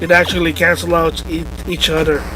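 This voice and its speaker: Background music can be heard. Over it, a man's speech goes at a moderate pace. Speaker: gaming video commentator. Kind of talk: casual gameplay commentary.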